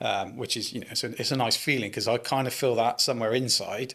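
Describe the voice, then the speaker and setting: Fairly quick speech with monotone, flat intonation comes through a very clean recording with a silent background. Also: man. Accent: West Country. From Bristol, England (Keynsham). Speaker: landscaping business owner, former police officer. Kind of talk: casual interview.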